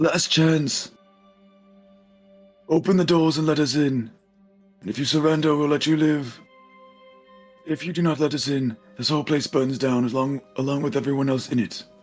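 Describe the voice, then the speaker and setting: Over faint background music, a man puts on a character voice at a fairly high pitch and moderate pace, pausing long and often. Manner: loud, threatening.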